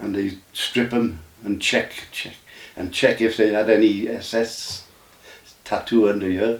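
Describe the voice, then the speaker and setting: This man has an English accent and a fairly low voice, talking at a fairly slow pace with fairly even intonation. He leaves long, frequent pauses, and background noise is noticeable. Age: 90s. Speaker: army veteran. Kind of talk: interview. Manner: halting.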